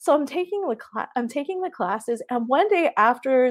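Swinging very widely in pitch, a woman with a Hawaiian accent speaks high at a moderate pace. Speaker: artist. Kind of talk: casual interview. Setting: video call.

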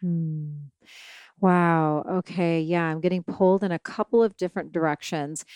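A woman uses a plain, everyday voice, fairly low in pitch, at a moderate pace with fairly even intonation. The sound is dry and close with no echo, on a very clean recording with a silent background. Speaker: shaman and podcast host. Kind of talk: casual interview conversation.

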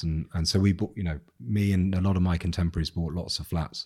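With a southern English accent and a dark, mellow tone, the speaker goes at a fairly quick pace with fairly even intonation on a very clean recording with a silent background. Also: man. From England, South Coast. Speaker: business owner and investor. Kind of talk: casual chat. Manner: hesitant, many fillers.

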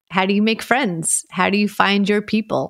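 This woman has a medium pitch and speaks with an American accent. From Brooklyn, New York. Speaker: podcast host and newspaper columnist. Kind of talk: scripted show introduction.

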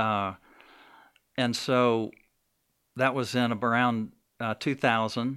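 A man with a Southern US accent, a bright, sharp tone, medium pitch, fairly even intonation and a very slow pace, in a very clean recording with a silent background. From Alabama, Birmingham. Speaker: coffee shop owner. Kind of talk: interview testimony. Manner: halting.

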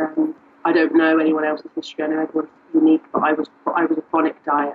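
Music plays in the background behind a woman. She speaks at a fairly quick pace with a southern English accent. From southern England. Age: 30s. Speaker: coaching program client. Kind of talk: interview testimony.

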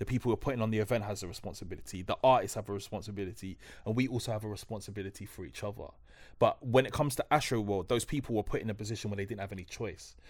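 A man with a South London accent, fairly low in pitch, at a very fast pace with fairly even intonation, in a very clean recording with a silent background. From South London, New Cross. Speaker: broadcaster and author. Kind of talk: casual chat.

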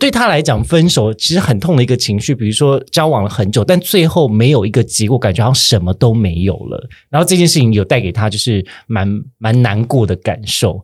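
A somewhat breathy man at medium pitch, fairly quick, with lively intonation, on a very clean recording with a silent background. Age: 30s. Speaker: podcast host. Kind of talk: casual chat.

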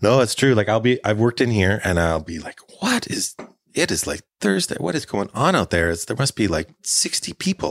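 With a Canadian accent, a man with an ordinary speaking voice talks at a moderate pace and a fairly low pitch, his intonation lively. The recording is very clean and dry, close with no echo and a silent background. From northern British Columbia, Canada (Prince George). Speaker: brewery owner and brewer. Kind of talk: casual interview. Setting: on location at the brewery.

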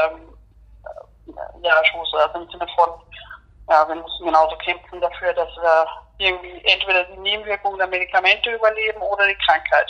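A woman at medium pitch, at a fairly quick pace with long, frequent pauses and big swings in loudness. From Austria. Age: 30s. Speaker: HIV patient and activist. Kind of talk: interview. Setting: phone call. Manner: hesitant, many fillers.

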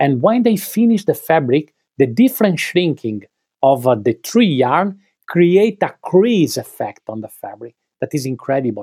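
In a dry, close recording with no echo, a man with a dark, mellow tone speaks fairly slowly, his pitch swinging very widely. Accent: Italian. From Italy, Veneto (Treviso hills). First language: Italian. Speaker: clothing designer, brand co-founder. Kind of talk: interview. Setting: remote call. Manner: halting.

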